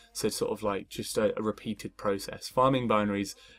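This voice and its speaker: A man is speaking. Music plays in the background. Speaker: security researcher presenting a tutorial. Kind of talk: tutorial presentation. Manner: fast; hesitant, many fillers.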